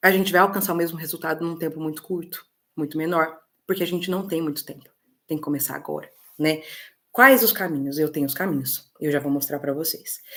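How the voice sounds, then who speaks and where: A woman's very deep, low-pitched voice at a fairly quick pace. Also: ordinary pitch variation. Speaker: political mentor for women. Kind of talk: online webinar talk. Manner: fast.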